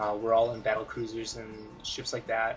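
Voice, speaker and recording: A man mumbles at a fairly quick pace. His voice carries audible room echo. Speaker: gaming video creator. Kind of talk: gameplay tutorial commentary. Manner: mumbling; halting, many fillers.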